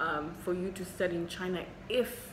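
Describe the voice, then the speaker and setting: A woman with a Zimbabwean accent and monotone, flat intonation, amid noticeable background noise and audible room echo. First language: Shona. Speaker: doctor and medical vlogger. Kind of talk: Q&A vlog. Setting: hospital.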